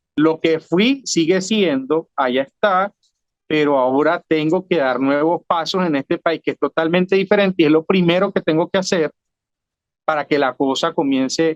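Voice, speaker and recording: A man with a Venezuelan accent at fairly high pitch and a moderate pace, with ordinary pitch variation, very even loudness, and a dry, close sound with no echo. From Venezuela, Trujillo state. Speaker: former city councillor, political exile. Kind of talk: interview conversation. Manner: repeats words, hesitant restarts.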